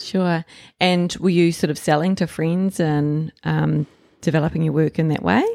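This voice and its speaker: Dry and close with no echo, a woman's dark, mellow, fairly low voice carries a New Zealand accent, moving at a moderate pace with fairly even intonation and very even loudness. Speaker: artist acting as interviewer. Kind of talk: interview, casual chat.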